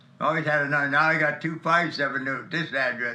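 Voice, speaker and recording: With an American accent, a man speaks at a fairly quick pace and a fairly high pitch. His intonation stays fairly even, and room echo is audible. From Ohio, US Midwest (Elyria, Hungarian neighborhood). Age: 90s. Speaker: war veteran. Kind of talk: interview. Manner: halting.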